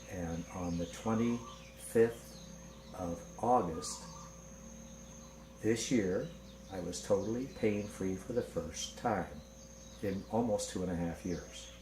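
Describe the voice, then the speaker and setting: Delivered at a very slow pace with long, frequent pauses and very wide pitch swings, the speech carries audible room echo. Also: man, very deep, low pitch for a man. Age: 60s. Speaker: patient. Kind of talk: testimony.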